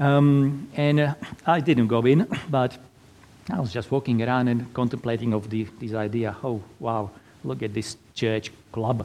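At a fairly slow pace, a man with a Slovak accent speaks at a medium pitch in a dark, mellow tone. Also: ordinary pitch variation. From Slovakia. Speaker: Lutheran pastor and navy chaplain. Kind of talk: sermon. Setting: church.

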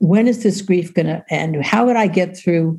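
A woman's somewhat breathy, dark, mellow voice with an American accent, fairly low in pitch, with ordinary pitch variation and a moderate pace. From New York. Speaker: social worker and author. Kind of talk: interview.

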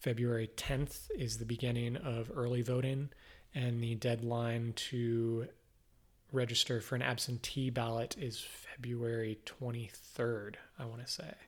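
A man of medium pitch speaks fairly slowly in a somewhat breathy voice with monotone, flat intonation. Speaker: podcast host, local politics. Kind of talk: casual interview conversation. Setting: home studio.

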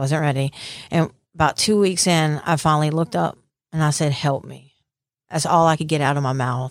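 The speaker talks at a fairly quick pace with a Southern US accent. It is a very clean recording with a silent background. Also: woman. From Mississippi Gulf Coast. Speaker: recovering addict sharing testimony. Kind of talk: testimony. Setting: studio interview.

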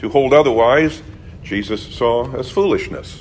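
A man speaking at a fairly slow pace with lively intonation, amid audible room echo and noticeable background noise. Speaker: pastor. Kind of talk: sermon. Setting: church. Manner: halting.

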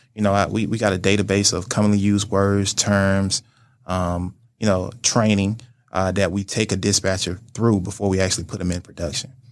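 On a very clean recording with a silent background, a man with an American accent talks at a fairly quick pace in a monotone, flat intonation. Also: fairly low pitch for a man. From US South (Montgomery, Alabama). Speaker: business owner, logistics entrepreneur and Navy veteran. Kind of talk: interview.

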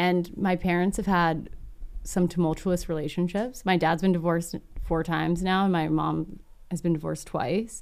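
On a very clean recording with a silent background, a woman with a fairly low pitch speaks at a moderate pace in a normal speaking voice, with fairly even intonation and very even loudness. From Texas. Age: 30s. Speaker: filmmaker and YouTuber. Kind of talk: casual chat.

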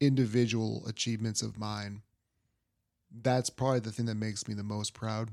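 This man speaks at a moderate pace with fairly even intonation and a medium pitch. The recording is very clean, with a silent background. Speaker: sports podcast host. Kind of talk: casual monologue. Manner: quiet.

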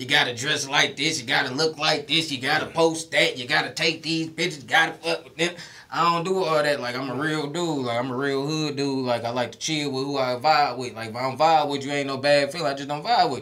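A man's fairly high-pitched voice at a fairly quick pace with hardly any pauses, over noticeable background noise. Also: ordinary pitch variation, big swings in loudness. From Detroit, Michigan. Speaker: stand-up comedian. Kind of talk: casual interview chat. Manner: animated.

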